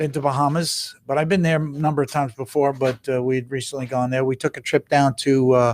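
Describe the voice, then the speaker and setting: A man with an American accent talks at a moderate pace and medium pitch with fairly even intonation, recorded with a dry, close sound and no echo. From New York, Brooklyn. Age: 60s. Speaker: heart surgeon. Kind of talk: casual interview.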